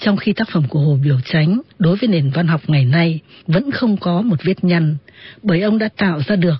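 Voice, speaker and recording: Somewhat breathy and fairly low, a woman's voice moves at a fairly slow pace with lively intonation. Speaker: radio presenter and literary narrator. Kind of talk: radio literary talk with read-aloud excerpts of novels. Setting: radio broadcast.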